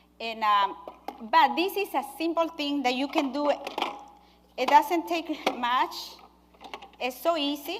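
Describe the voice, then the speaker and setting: Noticeable background noise surrounds a woman's high voice. Her intonation is lively, broken by long, frequent pauses. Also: fairly slow pace. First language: not English. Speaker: nurse and cooking demonstrator. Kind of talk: cooking demonstration. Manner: halting.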